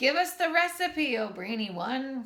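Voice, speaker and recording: In a raised, projected put-on character voice, a female-sounding speaker talks at a high pitch for a woman. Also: moderate pace. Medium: read story.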